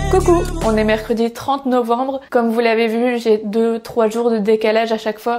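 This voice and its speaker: A woman's fairly high voice moves at a moderate pace through noticeable background noise. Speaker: family vlogger. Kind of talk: casual vlog talk to camera.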